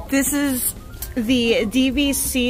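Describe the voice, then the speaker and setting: Music plays clearly in the background. Over it a woman speaks. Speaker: shopping vlogger. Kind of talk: casual vlog chat. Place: shop. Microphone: phone near.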